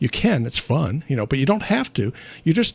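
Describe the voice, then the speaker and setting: Speaking at a very fast pace, a man sounds somewhat breathy. His intonation is lively. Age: 60s. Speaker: physician. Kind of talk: call-in health show. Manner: conversational.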